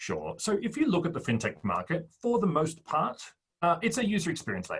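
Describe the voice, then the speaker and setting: This man has an Australian accent. He talks at a fairly quick pace. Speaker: fintech startup founder. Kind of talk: interview.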